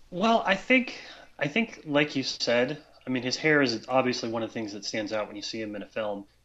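Big swings in loudness mark this man's unremarkable speaking voice, which moves at a fairly quick pace with ordinary pitch variation at a medium pitch. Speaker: writer. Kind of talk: casual chat.

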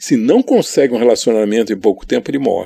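A man's dark, mellow tone at medium pitch, with vocal fry and lively intonation. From Brazil, São Paulo city. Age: 60s. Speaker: photographer. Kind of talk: interview.

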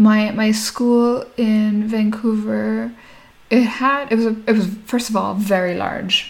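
A woman's fairly high, somewhat breathy voice, monotone and flat, at a very slow pace. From Nigeria, Lagos, Indian Sindhi family, later Canada. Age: 30s. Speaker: entrepreneur, founder of a natural foods company. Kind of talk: interview. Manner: casual, many filler words.

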